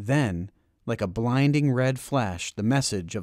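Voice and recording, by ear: A passage is read aloud. The voice is natural.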